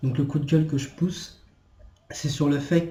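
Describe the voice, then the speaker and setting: Audible room echo surrounds a man with a fairly high pitch. He speaks at a fairly slow pace with fairly even intonation. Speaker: video blogger. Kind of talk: rant. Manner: halting.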